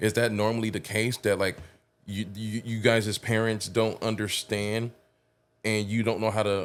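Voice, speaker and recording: Fairly low male pitch at a fairly quick pace, on a very clean recording with a silent background. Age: adult, parent. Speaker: podcast host. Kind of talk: casual podcast interview.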